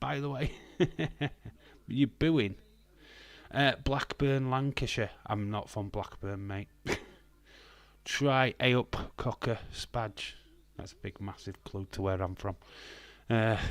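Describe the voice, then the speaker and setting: A man with a Northern English accent talks very slowly at a medium pitch with ordinary pitch variation. He leaves long, frequent pauses on a very clean recording with a silent background. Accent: Northern English, occasional hints of Scouse. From Northern England. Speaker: live streamer chatting with viewers. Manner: casual, hesitant, many filler sounds.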